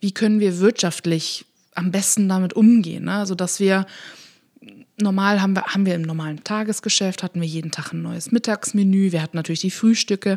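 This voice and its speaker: Her voice an unremarkable speaking voice, a woman talks fairly quickly at a medium pitch with fairly even intonation, in a dry, close sound with no echo. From Rhineland, Germany (Königswinter near Bonn). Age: 30s. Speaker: café owner. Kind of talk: casual interview. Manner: laughs often.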